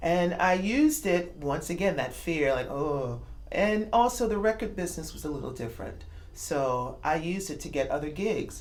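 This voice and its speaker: In a New York accent, a woman speaks with lively intonation and a fairly low pitch, her voice carrying audible room echo. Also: moderate pace. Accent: New York American English. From New York City. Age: 50s. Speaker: jazz singer. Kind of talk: interview. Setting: club in Moscow.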